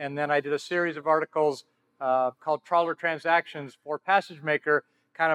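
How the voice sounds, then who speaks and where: At a fairly high pitch, a man speaks at a fairly quick pace in a monotone, flat intonation. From Southern California. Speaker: yacht broker, panel moderator. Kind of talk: panel discussion.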